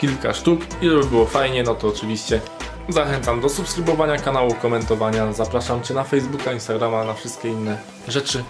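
A man talking at a very fast pace with ordinary pitch variation, clear music in the background. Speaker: vlogger announcing giveaway winners. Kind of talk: casual vlog chat. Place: home room. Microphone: phone near.

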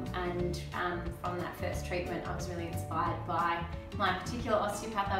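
A woman at a moderate pace, with audible room echo and clear music in the background. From Melbourne, Australia. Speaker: osteopath. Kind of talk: interview answer. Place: office. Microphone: camera far.

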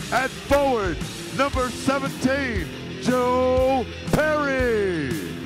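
A man talks at a very slow pace, with clear music playing in the background. The sound is dry, with no echo. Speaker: voice-over announcer. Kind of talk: arena starting lineup announcement. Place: stadium. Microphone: handheld.

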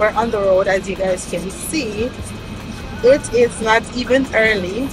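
A woman speaking at a fairly slow pace with ordinary pitch variation, dry sound with no echo, and music in the background. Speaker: vlogger. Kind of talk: casual vlog chat. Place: car.

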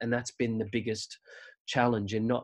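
At a fairly quick pace, a man talks in an Australian accent. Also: quiet background. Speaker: musical theatre performer and writer. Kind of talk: casual chat.

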